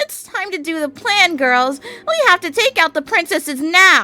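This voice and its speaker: This is a put-on character voice that sounds female. Its pitch is extremely high for a woman. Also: moderate pace. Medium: read story.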